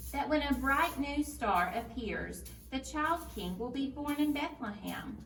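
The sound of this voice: Using a put-on character voice, a woman talks at a fairly slow pace in a high pitch with vocal fry, a fairly bright tone and lively intonation, with audible room echo.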